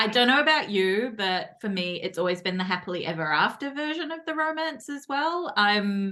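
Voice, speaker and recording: With a New Zealand accent, a woman speaks at a moderate pace with hardly any pauses, her medium pitch swinging very widely over noticeable background noise. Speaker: podcast host. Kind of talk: casual interview. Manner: animated.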